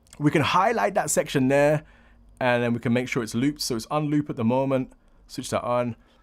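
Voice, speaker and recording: A man talks at a fairly quick pace in a normal speaking voice, fairly high, with ordinary pitch variation. The recording is very clean, with a silent background. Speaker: audio producer and tutorial youtuber. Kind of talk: tutorial.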